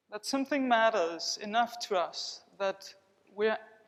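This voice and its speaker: Speaking with a non-native accent, a woman uses a fairly high pitch. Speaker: body psychotherapist. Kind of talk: conference keynote with guided body awareness. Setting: conference hall with audience. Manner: slow, guiding.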